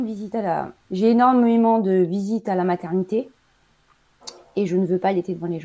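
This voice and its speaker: A woman with a dark, mellow tone talks at a fairly quick pace, broken by long, frequent pauses. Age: 40s. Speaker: nurse and mother. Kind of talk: casual interview. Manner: hesitant, many fillers.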